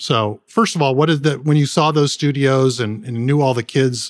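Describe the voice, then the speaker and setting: A man with a Californian accent, in a dry, close sound with no echo, on a very clean recording with a silent background. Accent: General American (Californian). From Southern California (San Gabriel). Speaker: podcast host and charity founder. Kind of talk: interview.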